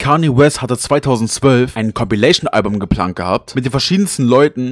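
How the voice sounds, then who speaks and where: A man at medium pitch, in a dry, close sound with no echo. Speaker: YouTuber. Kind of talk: scripted narration.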